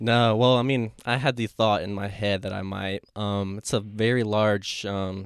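The speaker has a normal speaking voice at a moderate pace. The intonation is fairly even. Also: man. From Asheville, North Carolina. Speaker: podcast host and real estate agent. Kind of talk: casual interview.

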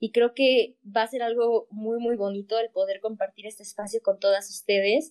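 A woman with a fairly high pitch talks at a moderate pace with hardly any pauses. Her intonation is monotone and flat, and the sound is dry and close with no echo. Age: young (19). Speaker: podcast co-host, student. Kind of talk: casual chat.

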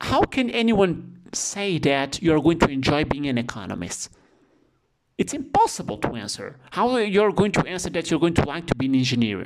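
A man talks in a Portuguese accent at a fairly quick pace. His voice sits fairly high and swings very widely in pitch. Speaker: economics professor. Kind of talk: interview.

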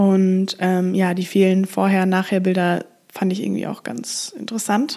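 At a moderate pace, a woman speaks in a flat monotone at medium pitch. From Germany, Frankfurt. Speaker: podcast host. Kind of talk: solo podcast monologue. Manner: casual with frequent fillers.

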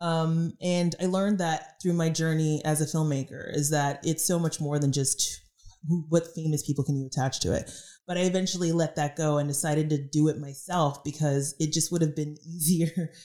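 A woman with an American accent speaks in a very deep, low, dark and mellow voice. Her intonation stays monotone and flat, and her loudness is very even. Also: moderate pace. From Dallas, Texas. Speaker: TV director. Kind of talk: casual interview. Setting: apartment.

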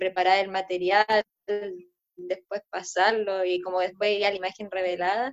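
A woman of medium pitch with a Chilean accent talks at a moderate pace in a flat monotone. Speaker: podcast host and collage artist. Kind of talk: casual chat.

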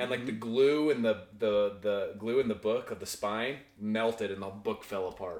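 A man with a plain, everyday voice and a medium pitch talks at a moderate pace. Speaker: podcast host. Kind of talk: casual chat. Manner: casual, excitable.

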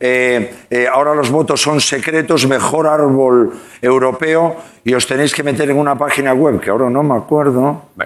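A man speaks in a normal speaking voice at a moderate pace. His pitch is fairly high and his loudness very even. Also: fairly even intonation. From Spain, Santiago de Compostela. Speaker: actor. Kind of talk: talk show interview. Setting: studio with live audience.

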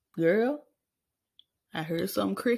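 There is an animated tone to this woman's somewhat breathy voice. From Arkansas, US South. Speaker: podcast host. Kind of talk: casual monologue.

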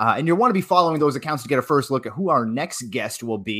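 A very fast man with a Boston accent, lively intonation and a bright, sharp tone. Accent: thick Boston. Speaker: magazine editor and podcast host. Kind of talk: interview.

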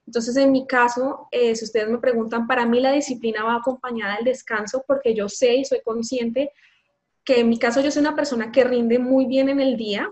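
A woman's high voice at a fairly quick pace, with fairly even intonation. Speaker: lawyer. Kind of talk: interview.

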